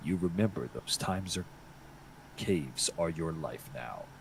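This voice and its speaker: Putting on a character voice, a man speaks at a very deep, low pitch with clear background noise. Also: moderate pace. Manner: spooky, eerie.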